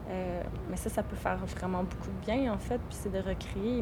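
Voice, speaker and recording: Moderate-paced speech from a woman amid audible room echo. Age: 30s. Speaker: wild plant workshop leader and lawyer. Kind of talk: interview conversation. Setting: outdoors. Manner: halting.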